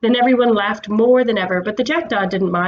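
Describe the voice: Someone does plain reading aloud, the pitch shifting in an ordinary way.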